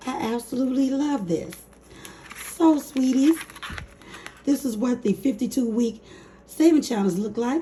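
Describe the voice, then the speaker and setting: Noticeable background noise sits behind a woman's voice. She speaks at a fairly slow pace with a high pitch. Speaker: budgeting YouTuber. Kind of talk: casual talk to camera. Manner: upbeat.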